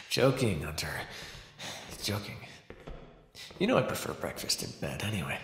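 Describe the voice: Using a put-on character voice, a man speaks low and at a fairly slow pace, with vocal fry and very wide pitch swings.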